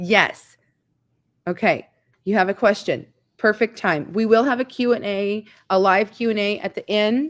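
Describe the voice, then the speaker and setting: On a very clean recording with a silent background, a woman speaks in an animated tone at a fairly high pitch. She keeps a moderate pace with ordinary pitch variation and long, frequent pauses. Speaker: farm lifestyle YouTuber hosting live stream. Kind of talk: live stream chat and Q&A. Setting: live stream.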